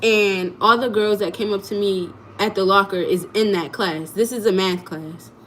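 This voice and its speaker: Noticeable background noise sits behind a woman speaking at a moderate pace with an animated tone and a medium pitch. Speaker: content creator. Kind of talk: livestream storytelling.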